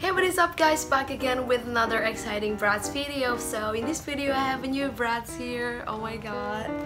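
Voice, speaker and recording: A woman speaking at a moderate pace, with clear music playing behind her. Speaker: doll collector. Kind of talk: casual unboxing talk to camera. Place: home room. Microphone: phone near.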